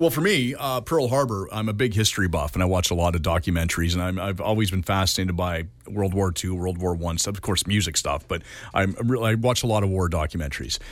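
In a Canadian accent, a man with a very deep, low pitch speaks at a very fast pace with ordinary pitch variation on a very clean recording with a silent background. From Canada. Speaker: radio show co-host. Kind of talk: casual chat.

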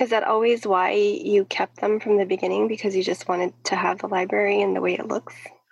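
A woman talks at a fairly quick pace with hardly any pauses over noticeable background noise. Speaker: podcast host. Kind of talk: casual interview.

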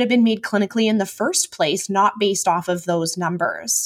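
An unremarkable speaking voice, this woman's, medium in pitch and moving at a fairly quick pace. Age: 30s. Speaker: naturopathic doctor. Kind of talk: interview.

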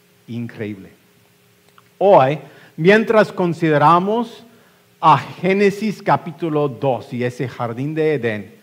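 The speaker is a man with a fairly high pitch. He talks at a very slow pace, his pitch swinging very widely. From West Texas, US. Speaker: pastor. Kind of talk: sermon. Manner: halting, frequent fillers and repetitions.

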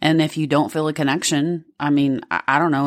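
Recorded very cleanly with a silent background, a woman speaks with a Southern US accent. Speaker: podcast co-host.

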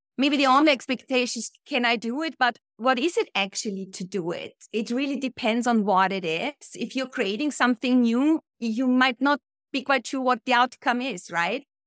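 Speaking with a German accent at a moderate pace and with hardly any pauses, the voice shows ordinary pitch variation, captured in a dry, close recording with no echo, very clean, with a silent background. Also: woman, high pitch for a woman. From Austria. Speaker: personal branding strategist. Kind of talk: interview conversation.

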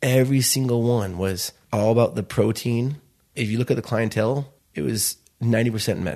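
This man has a dark, mellow tone and a medium pitch with ordinary pitch variation. He talks at a fairly quick pace with an American accent. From Chicago. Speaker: restaurant founder. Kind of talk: interview.

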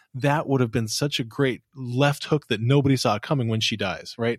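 A man's plain, everyday voice at medium pitch, fairly quick pace and ordinary pitch variation, very clean recording with a silent background. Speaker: podcast host. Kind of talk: casual chat.

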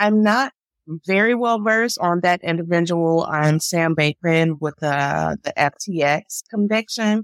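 A woman with an American accent speaks in a normal speaking voice, fairly low in pitch, with ordinary pitch variation and a fairly slow pace. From Chicago, US Midwest. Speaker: public health attorney, podcast co-host. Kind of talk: casual legal discussion.

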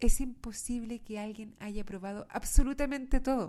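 A woman's dark, mellow tone unfolds at a fairly slow pace. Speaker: podcast host. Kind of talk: motivational monologue.

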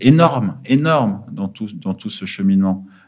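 Lively intonation from a man at medium pitch, fairly slow in pace. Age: 30s. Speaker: former finance trader turned charity worker. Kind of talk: interview. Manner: halting, many fillers.

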